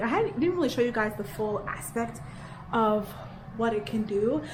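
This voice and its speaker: Amid noticeable background noise and audible room echo, a woman speaks at a moderate pace with a fairly high voice and ordinary pitch variation. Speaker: teacher vlogger. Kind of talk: casual vlog narration.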